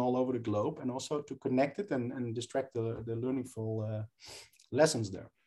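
A man with a Dutch accent, fairly even intonation and a fairly quick pace. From southern Netherlands. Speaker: professor. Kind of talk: interview. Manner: halting.

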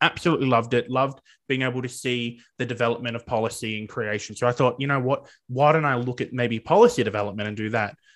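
A man with an Australian accent talks at a very fast pace. His pitch sits in the medium range. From regional Victoria, Australia. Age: 20s. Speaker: teaching student. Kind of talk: interview. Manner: animated.

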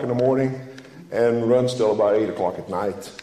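Room echo can be heard. A man speaks at a moderate pace. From Netherlands. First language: Dutch. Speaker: lay preacher, flower farmer. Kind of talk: sermon. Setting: church.

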